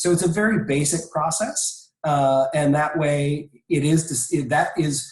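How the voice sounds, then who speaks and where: A man with an unremarkable speaking voice talks at a fairly slow pace with hardly any pauses. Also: fairly high pitch for a man, ordinary pitch variation. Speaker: presenter on copyright and licensing. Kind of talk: webinar presentation. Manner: frequent filler words.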